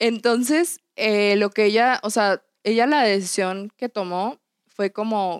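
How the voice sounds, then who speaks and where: On a very clean recording with a silent background, a woman speaks with a Mexican accent in a dry, close sound with no echo. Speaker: podcast co-host. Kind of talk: casual chat.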